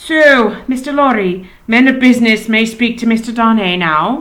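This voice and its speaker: A woman puts on a character voice, drawling at a moderate pace with a fairly high pitch and ordinary pitch variation. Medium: read story. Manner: careless, drawling.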